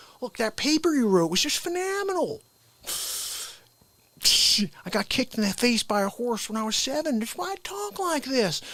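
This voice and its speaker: In a put-on character voice with a fairly high pitch, the speaker moves at a moderate pace through very wide pitch swings and long, frequent pauses. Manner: joking.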